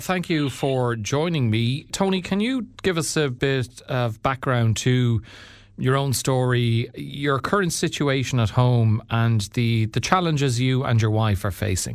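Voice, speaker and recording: This man has an unremarkable speaking voice at medium pitch, with lively intonation and a fairly slow pace. Loudness stays very even on a very clean recording with a silent background. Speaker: radio presenter. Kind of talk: news radio intro read.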